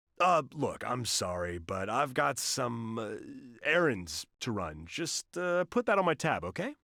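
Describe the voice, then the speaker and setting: A man puts on a gruff character voice at a medium pitch, with very wide pitch swings and a fairly slow pace. The sound is dry and close with no echo. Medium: fan dub. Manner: gruff, sarcastic.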